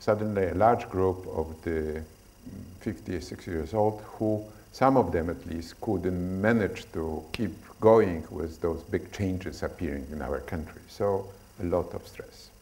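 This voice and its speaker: There is audible room echo as a man with a non-native accent speaks at a fairly slow pace, his pitch very deep and low with ordinary pitch variation. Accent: foreign. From Poland. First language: Polish. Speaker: stress researcher. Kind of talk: lecture. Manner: halting.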